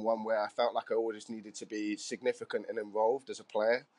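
At a fairly quick pace, a man with a Cardiff accent speaks with fairly even intonation in a dry, close sound with no echo. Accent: Welsh (Cardiff). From Wales, Cardiff. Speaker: football coach and author. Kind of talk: casual interview.

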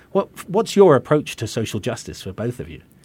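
Recorded very cleanly against a silent background, a man speaks with an English accent and lively intonation. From England. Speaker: rabbi and radio host. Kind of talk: interview. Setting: radio studio.

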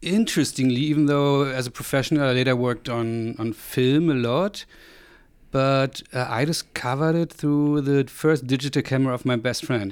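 In a German accent, a man speaks at a moderate pace. His medium pitch shows ordinary variation. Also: very clean recording, silent background. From East Germany, Rostock on the Baltic coast. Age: 40s. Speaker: photographer and software company co-founder. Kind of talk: interview conversation.

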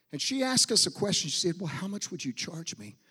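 An American-accented man talks at a fairly quick pace in an animated, bright, sharp tone, his pitch swinging very widely. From US Pacific Northwest, Portland, Oregon. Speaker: preacher, missionary. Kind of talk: sermon. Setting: church.

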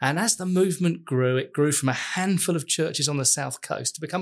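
A man speaks at a fairly quick pace in a normal speaking voice, his pitch fairly high and his pitch variation ordinary. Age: 50s. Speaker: church network leader. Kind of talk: casual chat.

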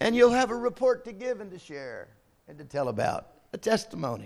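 Raised and projected, a man's voice moves through very wide pitch swings. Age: 60s. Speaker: visiting bishop preaching. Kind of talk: sermon. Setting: church service with congregation.

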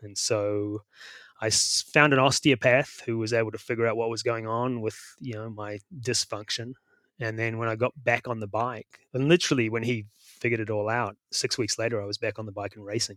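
A man with a New Zealand accent, fairly quick in pace and flat, monotone in intonation. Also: medium pitch for a man. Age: 50s. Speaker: bike fitter and coach. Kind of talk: interview. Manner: halting.

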